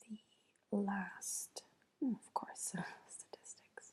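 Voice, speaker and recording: Soft-spoken, mumbling woman with a somewhat breathy, dark and mellow tone, fairly high pitch and ordinary pitch variation. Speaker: ASMR creator. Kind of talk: soft-spoken ASMR. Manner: soft-spoken, mumbling to herself. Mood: thoughtful, mildly amused. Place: home room. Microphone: earbuds.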